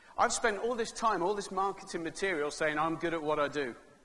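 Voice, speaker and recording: In an English accent, a man with a high pitch and a bright, sharp tone speaks in an animated way, with audible room echo around him. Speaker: keynote speaker. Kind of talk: keynote speech. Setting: stage with audience. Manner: fast.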